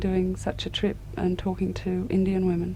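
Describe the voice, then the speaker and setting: This woman talks at a moderate pace while noticeable background noise sits beneath her. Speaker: radio interviewer. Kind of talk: radio interview questions.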